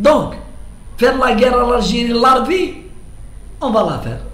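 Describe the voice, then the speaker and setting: A man with an extremely high pitch at a very slow pace, amid noticeable background noise and audible room echo. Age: 70s. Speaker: political commentator. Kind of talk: monologue commentary. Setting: at home. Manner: halting, repetitive.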